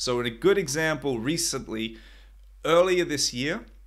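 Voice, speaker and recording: A man speaks at a fairly slow pace in a fairly high pitch. The background is quiet. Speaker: English teacher for football. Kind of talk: English lesson talk to camera. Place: home room.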